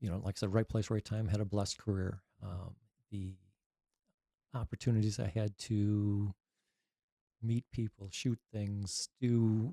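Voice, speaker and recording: A man with an American accent, fairly low-pitched, dark and mellow in tone, at a fairly slow pace with long, frequent pauses and fairly even intonation, on a very clean recording with a silent background and a dry, close sound with no echo. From Wisconsin, US Midwest. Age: 60s. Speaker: army veteran, retired drill sergeant. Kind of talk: oral history interview. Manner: halting.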